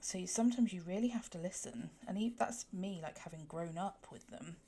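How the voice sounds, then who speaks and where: In a southwest English accent, the speaker talks at a fairly quick pace with vocal fry. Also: woman. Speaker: colouring livestreamer. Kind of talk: casual chat. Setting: livestream. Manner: casual with fillers.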